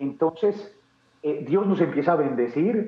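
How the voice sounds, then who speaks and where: A man with an Antioquian accent talks at a fairly slow pace, his high pitch showing ordinary variation. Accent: Colombian paisa Spanish. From Colombia, Medellín (paisa). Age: 30s. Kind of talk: interview testimony.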